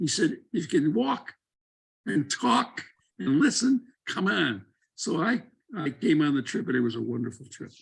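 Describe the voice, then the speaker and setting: With an American accent, a man talks at a fairly high pitch with very wide pitch swings and vocal fry. He takes long, frequent pauses. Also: moderate pace. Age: 80s+. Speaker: former congressman and doctor. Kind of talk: panel talk.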